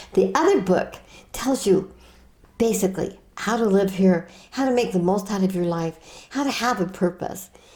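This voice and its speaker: A woman speaks at a moderate pace with a dark, mellow tone that is somewhat breathy. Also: medium pitch for a woman, ordinary pitch variation. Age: 80s+. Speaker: author and suicide prevention speaker. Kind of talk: interview. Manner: animated.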